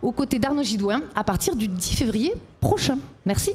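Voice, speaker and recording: Over noticeable background noise, a woman with a southern French accent speaks in a high voice with lively intonation. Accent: southern French accent, kept on purpose. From southern France. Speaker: radio and TV presenter contestant. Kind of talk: competition chronicle and jury Q&A.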